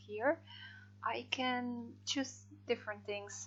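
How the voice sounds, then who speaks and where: This is a woman's voice. Noticeable background noise can be heard. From Netherlands. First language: Dutch. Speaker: freelance translator. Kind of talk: software tutorial. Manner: hesitant, many fillers.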